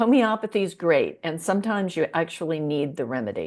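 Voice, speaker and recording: Against a quiet background, a woman of medium pitch speaks with an American accent and very wide pitch swings. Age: 70s. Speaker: holistic veterinarian. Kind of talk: interview.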